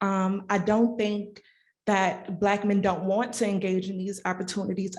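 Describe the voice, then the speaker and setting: Soft-spoken and monotone, the voice has flat intonation and moves at a moderate pace. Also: woman. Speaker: clinical social worker, audience questioner. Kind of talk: audience question. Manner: quiet, hard to hear.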